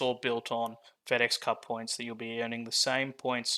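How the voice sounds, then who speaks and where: A man with an Australian accent speaks at a moderate pace and medium pitch in a monotone, flat intonation. His tone is bright and sharp, and the very clean recording has a silent background. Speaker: game designer and founder. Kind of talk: product walkthrough. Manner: casual, with many fillers.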